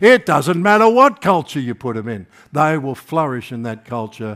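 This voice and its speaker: On a very clean recording with a silent background, a man with an Australian accent speaks at a moderate pace. His pitch is fairly high and swings very widely. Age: 70s. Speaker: preacher. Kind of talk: sermon. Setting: church.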